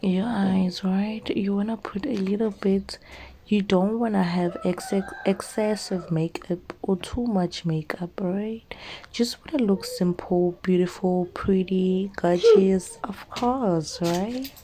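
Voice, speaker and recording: A woman with a non-native accent speaks at a very slow pace in a medium pitch, with ordinary pitch variation over noticeable background noise. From South Africa. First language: not English. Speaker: beauty YouTuber. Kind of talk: makeup tutorial voiceover. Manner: casual, halting with fillers.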